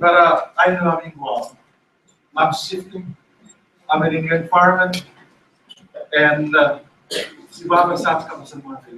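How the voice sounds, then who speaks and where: A man with a high voice talks at a moderate pace, with big swings in loudness, long and frequent pauses, and ordinary pitch variation. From Chuuk, Micronesia. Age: 70s. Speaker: associate professor, former politician. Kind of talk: welcoming remarks. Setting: public forum with audience.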